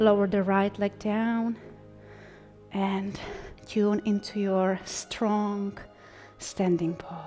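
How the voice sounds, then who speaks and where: With music playing in the background, a woman speaks at a medium pitch and a very slow pace. Her intonation is flat and monotone, broken by long, frequent pauses. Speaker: yoga instructor. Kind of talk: guided yoga class instruction. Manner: calm, gentle.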